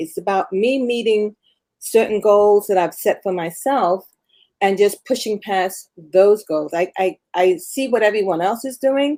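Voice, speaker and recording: Intonation is lively while the pace stays fairly slow. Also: woman. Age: 60s. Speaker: amateur marathon runner, retiree. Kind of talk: casual interview. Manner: halting.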